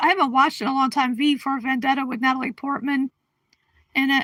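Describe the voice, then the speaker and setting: A woman projects a raised voice at a high pitch and a moderate pace, her tone bright and sharp, in a dry, close sound with no echo. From Connecticut, US. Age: 60s. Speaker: livestream host. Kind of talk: casual chat. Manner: halting.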